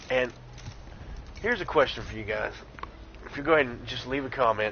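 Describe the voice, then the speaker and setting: A man with a Southern accent speaks over noticeable background noise. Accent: light Southern. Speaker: gaming streamer. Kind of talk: live gameplay commentary. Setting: live stream. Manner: casual, chatty.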